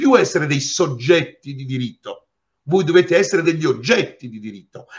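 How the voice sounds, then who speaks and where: Against a quiet background, a man with a high voice speaks at a moderate pace, his pitch swinging very widely. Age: 60s. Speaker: lawyer. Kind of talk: interview. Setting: remote video call. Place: office. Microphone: webcam.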